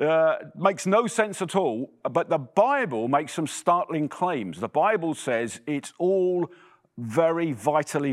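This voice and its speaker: In a very clean recording with a silent background, a man with an English accent talks fairly slowly in a fairly high voice with lively intonation. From England. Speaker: preacher. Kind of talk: sermon. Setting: church.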